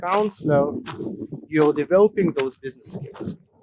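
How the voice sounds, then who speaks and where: A man speaks with fairly high pitch. His intonation is lively. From Russia and Israel. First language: not English (English is third language). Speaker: counselor and business coach. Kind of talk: casual educational talk to camera. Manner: hesitant, many fillers.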